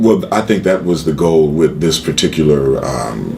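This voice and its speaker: At a moderate pace, a man with an American accent speaks in a very deep, low pitch against noticeable background noise. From Chicago. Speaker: actor and jazz singer. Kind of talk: casual interview. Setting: studio.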